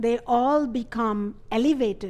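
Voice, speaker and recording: Speaking at a very slow pace, a woman with a non-native accent uses a fairly high pitch and ordinary pitch variation. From India (Ayodhya). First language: not English. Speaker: spiritual teacher. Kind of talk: lecture.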